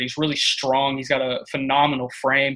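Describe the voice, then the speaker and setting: This man has a Texan accent, a medium pitch and flat, monotone intonation, speaking at a fairly quick pace. The recording is very clean, with a silent background. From East Texas (Tyler). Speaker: college football recruiting analyst. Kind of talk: interview.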